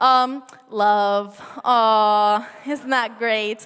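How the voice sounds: In an American accent, this voice moves at a very slow pace with fairly even intonation and a fairly bright, clear, smooth tone. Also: woman, fairly high pitch for a woman.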